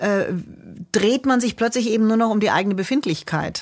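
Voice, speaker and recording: Captured in a very clean recording with a silent background, a woman speaks with ordinary pitch variation. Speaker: jazz singer and vocal coach. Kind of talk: casual chat.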